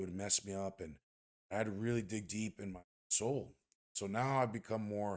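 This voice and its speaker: A man with a fairly low voice speaks at a moderate pace with fairly even intonation, leaving long, frequent pauses. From Texas, Rio Grande Valley (Brownsville). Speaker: strength coach. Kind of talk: casual chat.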